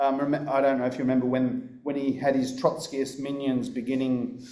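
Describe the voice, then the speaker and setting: With an Australian accent, a man talks in a room where echo is audible. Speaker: political speaker. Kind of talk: conference talk.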